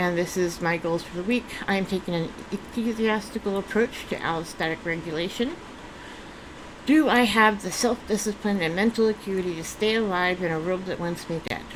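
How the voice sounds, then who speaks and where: Noticeable background noise sits behind a woman speaking at a fairly quick pace, her medium pitch showing ordinary pitch variation. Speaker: vlogger. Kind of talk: casual vlog monologue. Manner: halting, many fillers and restarts.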